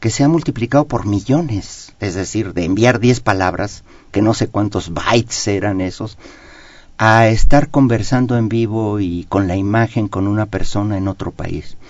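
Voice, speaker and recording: A man's unremarkable speaking voice with ordinary pitch variation at a moderate pace. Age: 60s. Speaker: economist. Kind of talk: radio interview. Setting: radio studio.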